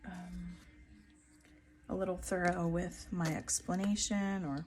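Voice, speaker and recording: Soft-spoken and at a fairly slow pace, a woman talks with an American accent. Music plays in the background. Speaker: craft YouTuber. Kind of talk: tutorial.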